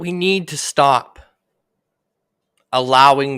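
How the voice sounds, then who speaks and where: With a Canadian accent, the speaker goes at a very slow pace in a very clean recording with a silent background. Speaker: livestreamer, political commentator. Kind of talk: livestream rant. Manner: loud, heated.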